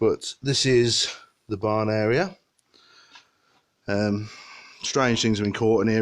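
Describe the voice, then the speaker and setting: Very slow and broken by long, frequent pauses, a man speaks in a British accent. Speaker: paranormal investigator. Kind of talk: walkthrough presentation to camera.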